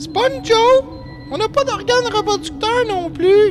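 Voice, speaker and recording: An extremely high-pitched, cartoonish character voice talks at a moderate pace. Loud background noise fills the recording. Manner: deadpan, superior.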